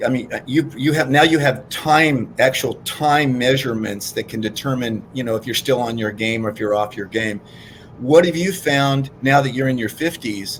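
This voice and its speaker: With its pitch varying an ordinary amount, an ordinary speaking voice goes along at a moderate pace. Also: man. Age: 60s. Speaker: fitness co-host. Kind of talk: casual chat.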